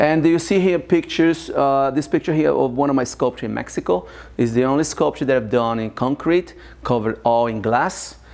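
Speaking fairly fast, a man lets his pitch rise and fall in an ordinary way. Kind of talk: guided tour narration. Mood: proud, enthusiastic. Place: workshop.

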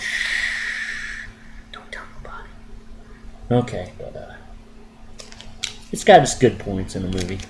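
This is a man speaking. There is noticeable background noise behind him. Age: 40s. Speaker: comic book collector. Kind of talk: casual talk to camera. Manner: whispered.

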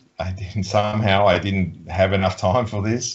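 Against a quiet background, a man with an Australian accent speaks at a fairly low pitch. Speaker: volleyball coach. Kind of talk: interview. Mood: relaxed, friendly. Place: office.

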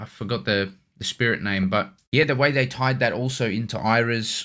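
Against a quiet background, a man talks at a moderate pace. His tone is bright and sharp, with ordinary pitch variation. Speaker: anime reaction host. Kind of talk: casual reaction commentary. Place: home room. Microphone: studio mic.

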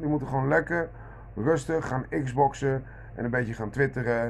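A man speaks at a moderate pace with a medium pitch and ordinary pitch variation. There is vocal fry in his voice, with light background noise behind him. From Netherlands. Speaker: vlogger. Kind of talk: monologue rant. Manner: halting, many repeated words. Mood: irritated, ranting. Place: kitchen. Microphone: phone near.

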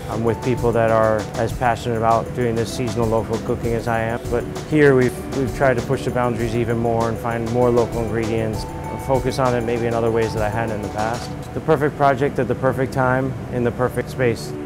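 Clear music plays in the background. A man speaks at a fairly quick pace with ordinary pitch variation. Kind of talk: interview answer. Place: cafe. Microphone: lapel.

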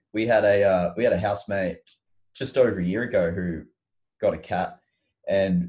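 Deep and low, a man's somewhat breathy, dark, mellow voice with an Australian accent keeps fairly even intonation at a moderate pace over a quiet background. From Queensland, Australia (Mackay, Sunshine Coast). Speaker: rock musician. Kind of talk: casual chat. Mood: relaxed, friendly chat. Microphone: video call.

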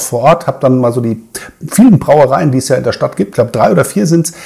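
In quiet surroundings, this man talks very fast, his pitch varying in an ordinary way. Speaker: beer reviewer. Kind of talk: casual vlog chat. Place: home room.

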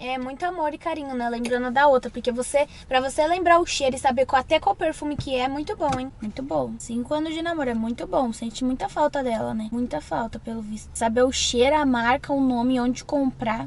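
The sound is dry with no echo as a woman talks at a fairly quick pace with hardly any pauses. Her pitch is high, with ordinary variation. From Brazil. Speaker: partner in a couple prank video. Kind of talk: casual vlog chat. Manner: loud, angry, shouting. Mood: sarcastic, jealous teasing. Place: car. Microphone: camera far.

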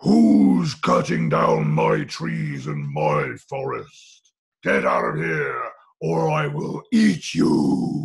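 A man bellows in a raspy put-on character voice at a very deep, low pitch. His pace is very slow. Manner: bellowing, threatening.

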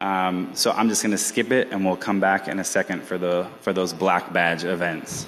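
Over faint background music, a man with a very deep, low pitch speaks at a moderate pace in a monotone, flat delivery with hardly any pauses. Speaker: contests department head; conference organizer hosting ceremony. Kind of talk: closing ceremony speech. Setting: stage with audience. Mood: relaxed, joking. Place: hall. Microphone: podium.

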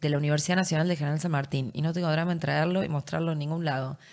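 This woman's voice sits at a very deep, low pitch. Her pitch varies in an ordinary way. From Argentina, Entre Ríos; Argentina. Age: 30s. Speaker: politician. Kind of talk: interview. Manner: animated. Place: studio. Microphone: studio mic.

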